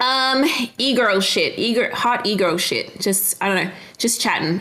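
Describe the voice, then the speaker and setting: A woman with an Australian accent speaks at a fairly quick pace, with audible room echo and noticeable background noise. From Western Australia. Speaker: streamer. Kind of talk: casual chat.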